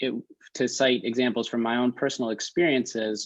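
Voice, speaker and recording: A man in a New York accent, moderate in pace, with monotone, flat intonation over a quiet background. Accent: American, New York area. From New York suburbs (Westchester County). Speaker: nonprofit founder, former teacher. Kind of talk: panel webinar talk. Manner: halting.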